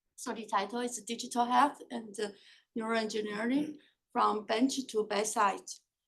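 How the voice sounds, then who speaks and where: A woman speaks with a fairly high pitch and vocal fry. Her pitch varies in an ordinary way. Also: moderate pace. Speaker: professor. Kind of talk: lecture.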